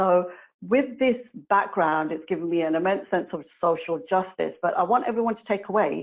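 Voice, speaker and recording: With a strong British accent, a woman speaks in big swings of loudness. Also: medium pitch for a woman, ordinary pitch variation, moderate pace. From England, London. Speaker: committee member speaker. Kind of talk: webinar presentation.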